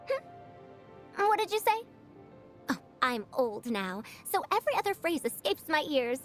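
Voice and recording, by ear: A woman uses a put-on character voice, high-pitched and fairly bright in tone, with big pitch swings. She talks at a fairly slow pace over faint music in the background.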